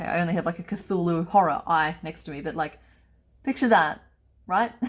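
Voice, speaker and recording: In a very clean recording with a silent background, a woman with an Australian accent speaks at a moderate pace in an upbeat tone, fairly low in pitch with ordinary pitch variation, big swings in loudness and long, frequent pauses. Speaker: crochet pattern designer. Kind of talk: crochet tutorial talk to camera. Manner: upbeat, chatty.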